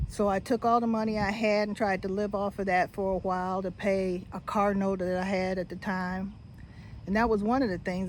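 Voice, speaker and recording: A woman's fairly quick delivery with fairly even intonation. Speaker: retiree vlogger. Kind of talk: personal vlog monologue. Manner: casual, halting with fillers.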